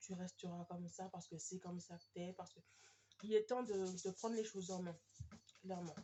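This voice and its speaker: Fairly even intonation from a woman, her voice somewhat breathy. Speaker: tarot card reader. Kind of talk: tarot reading video. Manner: hesitant, many fillers.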